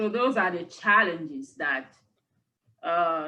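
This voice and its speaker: A bright, sharp tone at a fairly slow pace. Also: woman. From Cameroon. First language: French. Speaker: university lecturer. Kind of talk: interview conversation.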